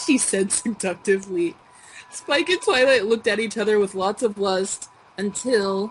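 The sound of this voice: Reading in an unforced voice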